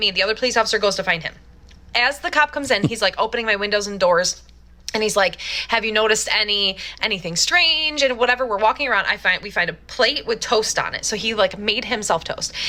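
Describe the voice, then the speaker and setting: In a put-on character voice, a woman rasps at a fairly high pitch and a very fast pace over light background noise. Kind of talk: casual, conversational. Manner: very fast talking.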